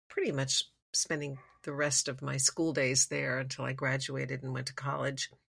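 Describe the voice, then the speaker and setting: A woman with a very deep, low voice and vocal fry speaks in an American accent. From Los Angeles and Geneva, Switzerland. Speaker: singer-songwriter. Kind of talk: interview. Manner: hesitant, many fillers.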